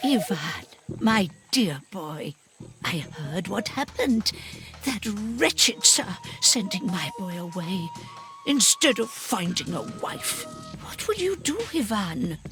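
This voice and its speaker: Faint music sits in the background as a cartoonish character voice speaks at a fairly slow pace. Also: woman, medium pitch for a woman. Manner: warm, folksy.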